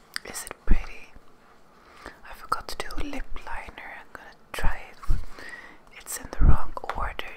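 A whisper moves along at a moderate pace. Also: woman. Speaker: beauty ASMR creator. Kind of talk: ASMR video talking to camera. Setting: close microphone, ASMR recording. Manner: whispered, soft-spoken. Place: home room. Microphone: studio mic.

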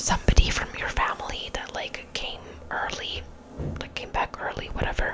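A woman whispers. Her pace is fairly slow. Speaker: ASMR creator. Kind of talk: casual storytelling to camera. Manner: whispered, soft. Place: bathroom. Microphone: studio mic.

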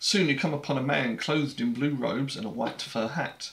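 A man's fairly high voice with a British accent, at a fairly quick pace, with ordinary pitch variation. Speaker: board game video host. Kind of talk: casual chat. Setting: home, recorded with action cam. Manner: rambling, hesitant. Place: home room.

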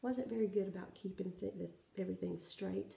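With a Southern US accent, a woman speaks at a medium pitch and fairly even intonation, with audible room echo. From South Carolina, US South. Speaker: cross-stitch vlogger. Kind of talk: casual show-and-tell vlog; casual vlog chat. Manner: hesitant, many fillers. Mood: friendly, relaxed. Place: home room. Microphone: phone near.

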